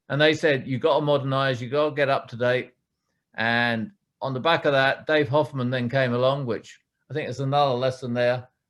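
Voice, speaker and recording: Speaking at a fairly quick pace, a man with an American accent keeps a medium pitch and fairly even intonation. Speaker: retired CEO. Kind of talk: fireside chat interview. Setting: live event with audience.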